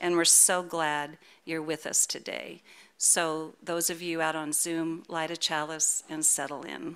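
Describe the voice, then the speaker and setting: The recording is very clean with a silent background, and the speech comes at a fairly slow pace. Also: woman, very deep, low pitch for a woman. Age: 70s. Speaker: worship associate. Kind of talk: church announcements and welcome. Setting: church service with congregation, streamed. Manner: warm, upbeat.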